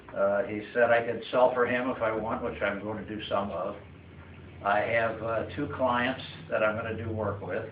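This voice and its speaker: A man talks at medium pitch and a moderate pace in a monotone, flat intonation. Noticeable background noise and audible room echo surround him. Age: 80s+. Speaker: retiree giving farewell speech. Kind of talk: farewell speech. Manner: halting, many fillers.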